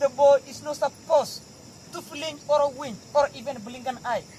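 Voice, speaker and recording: In a Kenyan accent, a man speaks at an extremely high pitch. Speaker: Samburu warrior. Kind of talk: oral storytelling to visitors.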